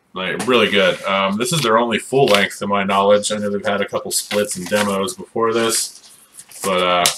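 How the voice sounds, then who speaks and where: The voice moves at a moderate pace with fairly even intonation, over noticeable background noise. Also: man, fairly low pitch for a man. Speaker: YouTuber reviewing music collection. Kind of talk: casual video monologue. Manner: hesitant, many fillers.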